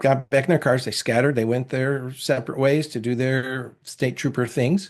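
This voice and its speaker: A man's voice at medium pitch. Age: 60s. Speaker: father who walked to daughter's wedding. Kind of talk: interview storytelling. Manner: animated.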